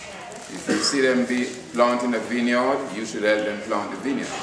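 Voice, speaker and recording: A man talks at a moderate pace with a medium pitch. There is noticeable background noise and an audible room echo. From Jamaica. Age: 60s. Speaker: community elder. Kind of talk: motivational speech. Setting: community center audience.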